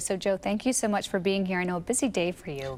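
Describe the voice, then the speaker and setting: In an unremarkable speaking voice, a woman with an American accent talks at medium pitch with lively intonation. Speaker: television news anchor. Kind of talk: TV news anchor delivery.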